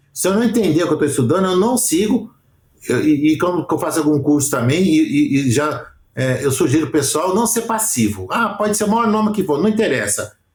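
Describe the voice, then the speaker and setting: This man has a Brazilian accent and a high pitch with very wide pitch swings. He talks at a fairly quick pace with very even loudness. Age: 60s. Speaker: aesthetics professional and educator. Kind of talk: podcast interview. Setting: remote call.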